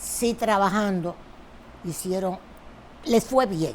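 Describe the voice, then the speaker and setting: A woman speaks at a very slow pace. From Dominican Republic, Santo Domingo. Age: 70s. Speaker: politician. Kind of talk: interview.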